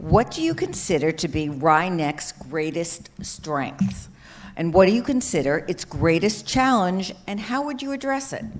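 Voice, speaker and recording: Speaking at a fairly slow pace, a woman with a fairly low pitch makes very wide pitch swings. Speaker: forum moderator. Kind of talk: moderating a forum.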